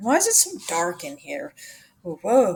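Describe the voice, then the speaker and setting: A woman uses a put-on character voice. Her fairly high pitch moves in very wide swings. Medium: read story.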